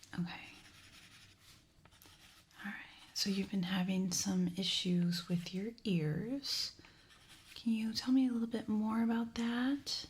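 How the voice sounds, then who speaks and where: A woman with a fairly high, somewhat breathy voice speaks very slowly, leaving long, frequent pauses. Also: ordinary pitch variation. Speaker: ASMR content creator. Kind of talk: ASMR medical exam roleplay. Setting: studio, close microphone recording. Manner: whispered, soft-spoken.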